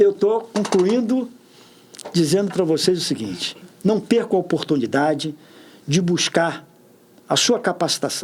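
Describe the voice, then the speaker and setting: Speaking fairly slowly, a man uses a high pitch and lively intonation. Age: 60s. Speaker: public official. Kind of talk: podcast interview.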